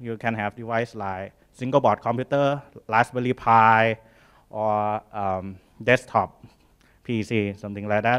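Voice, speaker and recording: A man with a Thai accent speaks at a fairly slow pace. His intonation is fairly even, and the background is quiet. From Thailand. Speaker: startup founder and engineer; conference presenter. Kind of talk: conference talk; technical conference talk. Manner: halting. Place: hall.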